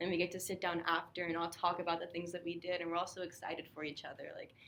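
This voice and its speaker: A woman's fairly low voice at a very fast pace. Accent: American. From California. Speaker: college student panelist. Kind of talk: casual chat. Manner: enthusiastic.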